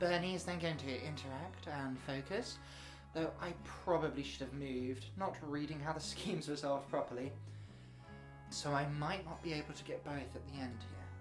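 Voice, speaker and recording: A woman speaks at a moderate pace. Background music accompanies her. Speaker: tabletop game battle report narrator. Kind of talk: game battle report narration.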